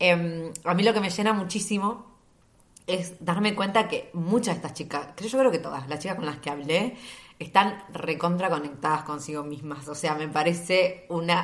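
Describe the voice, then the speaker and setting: A woman with a Rioplatense accent and a fairly low pitch is heard with noticeable background noise and audible room echo. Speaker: podcast host. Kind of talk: casual solo monologue.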